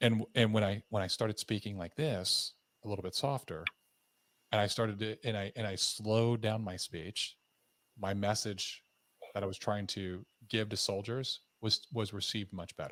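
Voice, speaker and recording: On a very clean recording with a silent background and a dry, close sound with no echo, a man speaks in a normal speaking voice. His pitch is fairly low, his intonation fairly even and his pace moderate. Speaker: podcast host, former army officer. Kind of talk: podcast interview.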